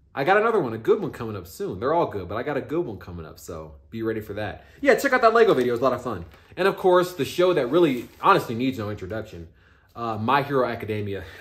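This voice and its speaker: A man's medium-pitched voice with an American accent, very fast, with very wide pitch swings and big swings in loudness. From Texas. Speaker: YouTuber. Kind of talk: casual vlog commentary. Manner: animated.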